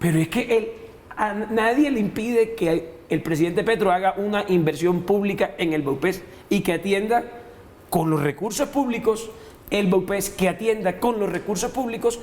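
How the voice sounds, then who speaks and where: Noticeable background noise sits behind the speaker. He is a man with a high-pitched voice. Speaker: senator. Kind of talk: heated debate. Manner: halting.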